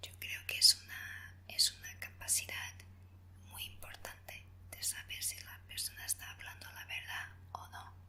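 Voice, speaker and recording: A woman whispers at a fairly slow pace with a non-native accent. Her loudness swings widely, and background noise is noticeable. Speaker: ASMR creator. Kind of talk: ASMR would-you-rather Q&A. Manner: whispered, soft.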